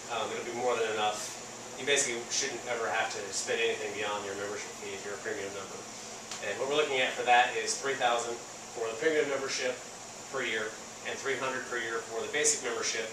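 A man talks at a fairly quick pace with fairly even intonation. Audible room echo and noticeable background noise surround him. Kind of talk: interview answer. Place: garage. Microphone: camera far.

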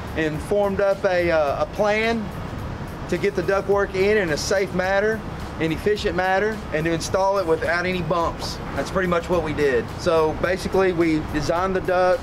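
A man's high-pitched voice at a moderate pace, with music playing in the background. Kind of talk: interview answer. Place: street.

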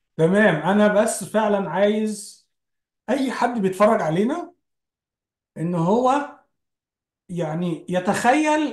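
High-pitched male voice with very wide pitch swings, audible room echo, and a quiet background. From Egypt. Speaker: podcast host. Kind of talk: casual religious discussion. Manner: halting, frequent repetitions. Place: home room. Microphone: video call.

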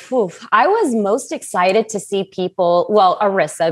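A woman speaks, with light background noise behind her. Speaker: remote podcast guest. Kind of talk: interview answer. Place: home room. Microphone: earbuds.

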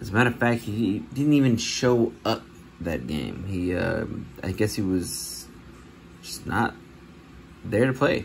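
A man talks fairly slowly at a fairly low pitch, with vocal fry and lively intonation. Long, frequent pauses break his speech over light background noise. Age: 30s. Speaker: sports card collector YouTuber. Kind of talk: casual vlog. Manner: casual, rambling with fillers. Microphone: phone near.

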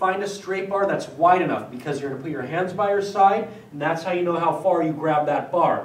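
Audible room echo surrounds a man speaking at a fairly quick pace, his high pitch held in fairly even intonation. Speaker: fitness trainer. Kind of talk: tutorial. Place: gym.

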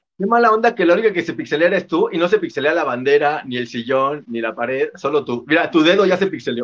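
A man's high-pitched, animated voice at a very fast pace, lively in intonation, with hardly any pauses. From Mexico City. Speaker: motivational speaker. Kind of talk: casual interview chat. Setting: video call. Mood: cheerful, joking. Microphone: video call.

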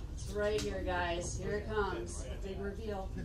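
A woman's voice over noticeable background noise. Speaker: stand-up comedian. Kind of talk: stand-up comedy routine.

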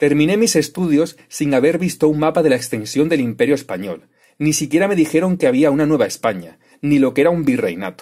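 A man's dark, mellow tone at a fairly high pitch, fairly quick and lively in intonation, very even in loudness, on a very clean recording with a silent background. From Extremadura, Spain. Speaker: YouTube history commentator. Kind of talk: scripted narration.

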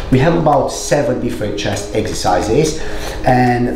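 Clear music plays behind a man with audible room echo. He talks at a moderate pace. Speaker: fitness creator. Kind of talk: casual workout tutorial intro and outro. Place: home room.

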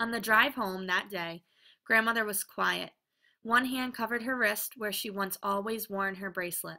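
Quiet surroundings and plain reading aloud

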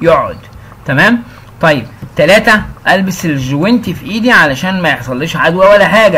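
A man's high, raised and projected voice with lively intonation and an Egyptian accent, over noticeable background noise. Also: moderate pace. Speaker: English teacher. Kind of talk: tutorial. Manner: casual.

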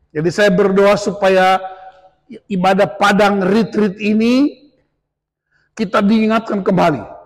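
Against a quiet background, a man speaks loudly at a high pitch and a very slow pace, with long, frequent pauses. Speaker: pastor. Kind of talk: sermon. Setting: church retreat with audience. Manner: animated. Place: hall. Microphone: handheld.

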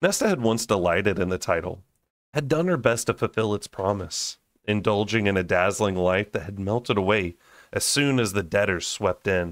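In an unremarkable speaking voice of fairly low pitch, a man talks at a moderate pace with lively intonation, recorded dry and close with no echo on a very clean, silent background. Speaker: audiobook reader and book-club channel host. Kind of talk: dramatic narration of a fantasy novel, brooding and intense. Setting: home recording, raw unedited audio. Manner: casual, chatty and laughing in between-chapter banter.

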